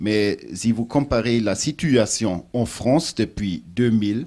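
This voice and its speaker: Speaking very slowly, a man with a German accent has a medium pitch. His intonation is lively. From Germany. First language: German (speaking French). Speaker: international organization official, former minister. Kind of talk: panel discussion. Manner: halting.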